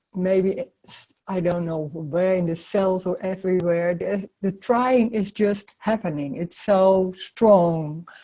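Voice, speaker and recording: This woman talks at a very slow pace with hardly any pauses, her medium pitch and fairly even intonation carrying a dark, mellow tone through big swings in loudness. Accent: non-native. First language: not English. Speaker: spiritual teacher. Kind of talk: casual chat. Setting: video call. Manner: halting.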